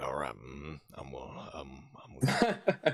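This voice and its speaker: A man uses a put-on character voice with very deep, low pitch. He talks at a fairly slow pace. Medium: actual play. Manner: halting, drawling, hesitant.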